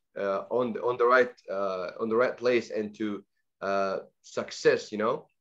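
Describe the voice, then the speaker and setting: A man with an Arabic accent at a fairly slow pace. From Egypt, raised in Saudi Arabia. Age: 20s. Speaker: guest speaker on language learning. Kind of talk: online presentation. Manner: halting, many fillers and repetitions.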